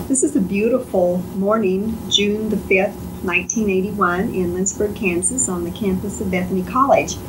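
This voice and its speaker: With hardly any pauses, a woman talks at a medium pitch and ordinary pitch variation against noticeable background noise. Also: moderate pace. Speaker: oral history interviewer. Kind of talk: interview questions. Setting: noisy old tape, background hum.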